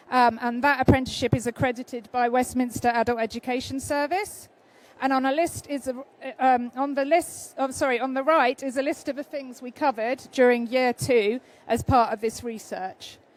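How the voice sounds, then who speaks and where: A woman's high voice moves at a moderate pace, her intonation fairly even. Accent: British. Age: 50s. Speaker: freelance researcher. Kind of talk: conference presentation. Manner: hesitant, many fillers.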